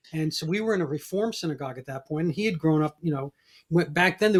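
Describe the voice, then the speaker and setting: With an American accent, a man speaks at a very fast pace in a fairly high pitch with ordinary pitch variation. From New York, the Bronx. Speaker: podcast host. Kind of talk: interview conversation.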